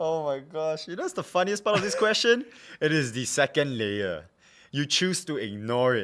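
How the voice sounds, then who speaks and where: An animated man, fairly high in pitch, with very wide pitch swings at a moderate pace. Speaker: student radio host. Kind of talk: casual chat.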